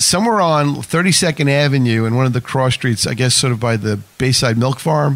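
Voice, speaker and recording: Speaking at a moderate pace with a New York accent, a man uses a fairly high pitch and ordinary pitch variation. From Whitestone, Queens, New York. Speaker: radio host. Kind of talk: radio interview.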